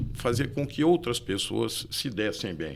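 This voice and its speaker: This man talks at a moderate pace with vocal fry. His pitch swings very widely. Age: 60s. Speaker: real estate broker and engineer. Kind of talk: podcast interview. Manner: halting.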